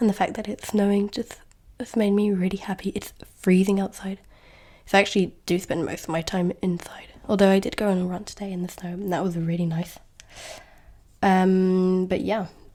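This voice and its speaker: In a southern English accent, a woman speaks at medium pitch and a moderate pace. Her tone is dark and mellow, her intonation flat and monotone. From England, near London. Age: 20s. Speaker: podcast host. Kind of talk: casual chat.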